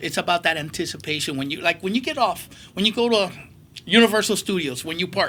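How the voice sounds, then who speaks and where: A man talks at a very fast pace with a high pitch and lively intonation. His tone is animated, bright and sharp, and the recording is very clean with a silent background. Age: 60s. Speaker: comic convention organizer and collector. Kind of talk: interview.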